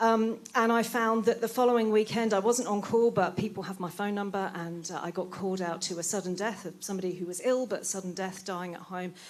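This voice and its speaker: A woman with a British accent talks at a fairly quick pace. Her pitch is medium, and her intonation fairly even. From Britain. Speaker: palliative care doctor. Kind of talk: closing speech at event. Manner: hesitant, many fillers.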